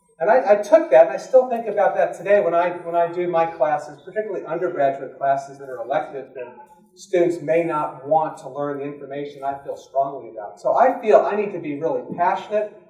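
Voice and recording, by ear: A man with an American accent, a dark, mellow tone and fairly high pitch, at a fairly quick pace with few pauses and ordinary pitch variation, amid audible room echo.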